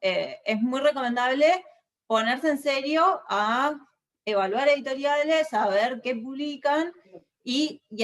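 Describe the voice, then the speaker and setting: A woman talks fairly slowly, her intonation lively. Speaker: book editor. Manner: hesitant with fillers.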